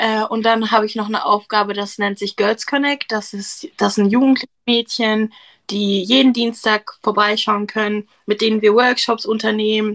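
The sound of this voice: Fairly bright in tone, a woman's medium-pitched voice moves at a moderate pace with fairly even intonation.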